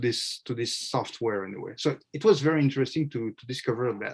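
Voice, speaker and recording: Speaking at a fairly quick pace with a French accent, a man uses a medium pitch, ordinary pitch variation and a somewhat breathy voice. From France. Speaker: media consultant. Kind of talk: panel presentation. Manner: halting, many fillers.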